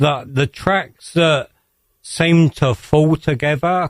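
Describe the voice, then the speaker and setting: In a British accent, a man speaks at a very slow pace with ordinary pitch variation, and the sound is dry and close with no echo. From England. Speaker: electronic music producer. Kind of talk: radio interview.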